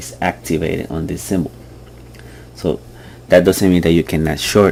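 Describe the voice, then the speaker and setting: A man with a very deep, low pitch speaks over noticeable background noise. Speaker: trading tutorial youtuber. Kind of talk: tutorial. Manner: hesitant, many fillers.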